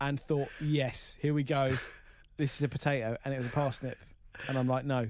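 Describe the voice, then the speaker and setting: With an English accent, a man speaks at a moderate pace in a fairly high pitch. His intonation is monotone and flat. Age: 30s. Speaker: radio producer. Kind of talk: casual chat.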